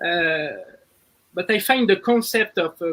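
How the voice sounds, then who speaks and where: With a French accent, a man talks at a very slow pace in a high pitch. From France and Brazil. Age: 30s. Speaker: business executive. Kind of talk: interview. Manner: halting, with fillers.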